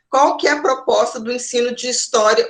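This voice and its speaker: This woman has a high-pitched voice. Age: 40s. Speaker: university lecturer in education. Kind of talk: online lecture. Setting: online class. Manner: halting, many fillers.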